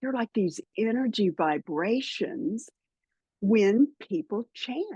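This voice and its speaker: Recorded in a dry, close sound with no echo, a woman with an American accent talks at a medium pitch. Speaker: spiritual podcaster and author. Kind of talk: interview.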